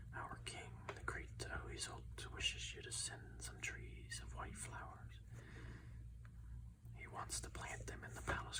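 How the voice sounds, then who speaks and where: Noticeable background noise sits under a soft-spoken voice moving at a fairly slow pace. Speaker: ASMR content creator. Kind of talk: audiobook-style reading of a story.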